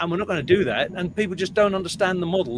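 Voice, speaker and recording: With a Liverpool accent, a man speaks at a high pitch with ordinary pitch variation. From northern England, Liverpool. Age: 60s. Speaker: rock band frontman. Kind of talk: casual interview chat.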